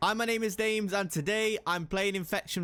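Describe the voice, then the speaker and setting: On a very clean recording with a silent background, a man with a British accent speaks at a fairly quick pace with a high pitch and a bright, sharp tone. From England, Midlands (Nottingham). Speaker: gaming YouTuber. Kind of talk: gameplay commentary.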